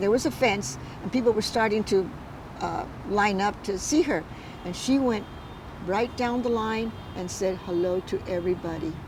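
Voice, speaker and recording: Against noticeable background noise, a woman with an American accent talks at a moderate pace with lively intonation. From Culver City, California. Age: 80s+. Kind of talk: interview answer. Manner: hesitant.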